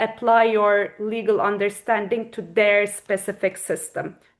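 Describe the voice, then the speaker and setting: Against a quiet background, a woman with a Turkish accent talks at a fairly slow pace and a medium pitch. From Turkey. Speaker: corporate lawyer. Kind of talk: interview answer.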